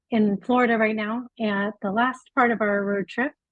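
Speaking with a Californian accent, a woman talks at a moderate pace with fairly even intonation. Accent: Californian American. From South Africa. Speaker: pet travel website founder. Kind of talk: casual interview.

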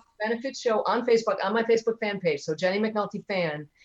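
A woman's medium-pitched voice at a very fast pace with fairly even intonation. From US Midwest, Detroit. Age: 50s. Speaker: comedian. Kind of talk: casual chat.

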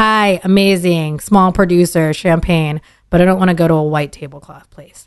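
A woman with an American accent has an unremarkable speaking voice, fairly low in pitch, at a moderate pace. Her intonation is fairly even, with big swings in loudness. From Dallas, Texas suburbs (born Philippines). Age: 30s. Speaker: sommelier. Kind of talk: casual interview.

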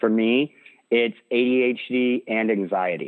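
With an American accent, the man's voice sits at a medium pitch. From central Illinois, US Midwest. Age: 20s. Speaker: political candidate. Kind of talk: interview.

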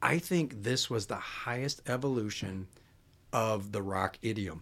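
In a very clean recording with a silent background, a man with an American accent uses a plain, everyday voice at medium pitch with lively intonation. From Chicago. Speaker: musician. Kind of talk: casual chat.

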